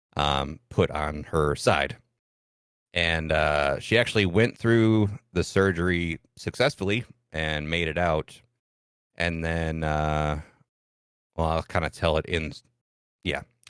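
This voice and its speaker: Very deep and low in pitch, a man speaks very slowly with a Midwestern US accent and long, frequent pauses. His pitch variation is ordinary, and the background is quiet. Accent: US Midwest. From US Midwest, Michigan-Ohio border farm town. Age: 30s. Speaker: streamer. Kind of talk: podcast interview, personal story.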